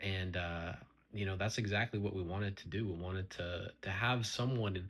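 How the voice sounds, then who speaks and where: Fairly low in pitch and somewhat breathy, a man talks at a fairly quick pace with fairly even intonation. The recording is very clean, with a silent background. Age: 20s. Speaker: vlogger, young father. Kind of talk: personal vlog monologue. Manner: halting, with fillers and false starts.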